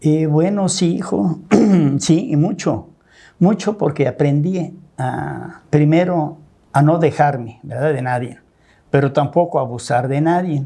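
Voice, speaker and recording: A man speaks at a fairly slow pace with a dark, mellow tone and a fairly high pitch. His voice is somewhat breathy. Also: ordinary pitch variation. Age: 70s. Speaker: businessman, host's father. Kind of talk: interview storytelling.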